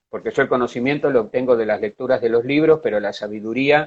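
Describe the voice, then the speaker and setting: A man with a medium pitch rushes through his words at a very fast clip. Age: 60s. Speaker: psychologist and art therapist. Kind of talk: interview. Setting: online live stream.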